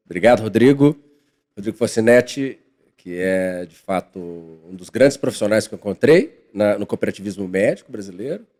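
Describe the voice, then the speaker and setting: In a dry, close recording with no echo, a man with an unremarkable speaking voice talks at a moderate pace and a fairly low pitch, with ordinary pitch variation and big swings in loudness. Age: 40s. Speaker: financial consultant and professor. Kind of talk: podcast interview.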